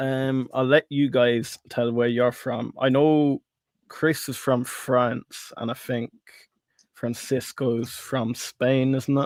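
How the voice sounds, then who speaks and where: A man with an Irish accent, medium in pitch, monotone and flat, at a very slow pace, on a very clean recording with a silent background and dry, close sound with no echo. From Ireland. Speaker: stock investing livestream host. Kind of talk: casual livestream chat.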